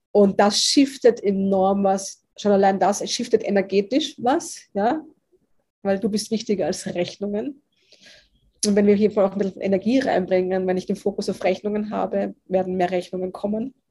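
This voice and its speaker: A woman's somewhat breathy voice with a dark, mellow tone and ordinary pitch variation. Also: medium pitch for a woman, moderate pace. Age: 40s. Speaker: business mentor. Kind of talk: interview conversation. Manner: animated.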